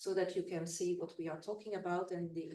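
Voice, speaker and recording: A woman with a Belgian accent, a dark, mellow tone and medium pitch, monotone, flat intonation at a fairly quick pace, in a room with audible echo. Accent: Belgian, non-native English. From Belgium. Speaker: researcher and former cult member. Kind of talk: conference presentation. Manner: halting.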